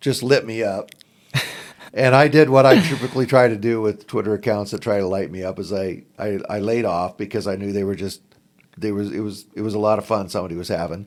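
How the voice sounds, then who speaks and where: Using an ordinary speaking voice, a man with an American accent talks at a fairly quick pace in a fairly low pitch, with ordinary pitch variation. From southern Oregon, US. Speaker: basketball podcaster. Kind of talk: podcast interview.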